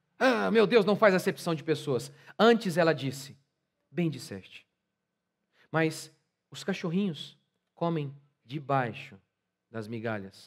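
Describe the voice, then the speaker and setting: Against a quiet background, a fairly high-pitched man talks at a very slow pace, with long, frequent pauses, big swings in loudness and very wide pitch swings. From Brazil. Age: 40s. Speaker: pastor. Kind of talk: sermon. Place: church. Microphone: headset.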